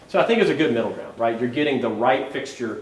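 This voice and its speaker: A man's voice comes through with noticeable background noise and audible room echo around it. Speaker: streetlight project consultant. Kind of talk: presentation at city council meeting. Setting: city board meeting. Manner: fast.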